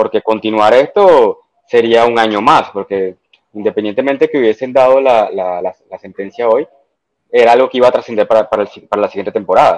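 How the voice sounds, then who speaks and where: A man with an ordinary speaking voice talks at a fairly quick pace in a medium pitch with ordinary pitch variation, the sound dry and close with no echo. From Dominican Republic. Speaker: football fan. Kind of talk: casual chat. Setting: online call.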